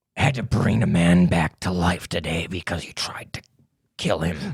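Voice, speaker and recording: A man growls in a put-on character voice at a very deep, low pitch. His pace is moderate. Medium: actual play. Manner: laid-back, dry.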